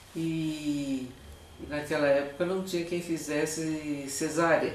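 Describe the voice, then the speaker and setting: The delivery is very slow, with monotone, flat intonation. Noticeable background noise and audible room echo are present. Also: woman, very deep, low pitch for a woman. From Brazil, Tatuí (São Paulo state). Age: old. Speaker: retired teacher. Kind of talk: interview, personal memories.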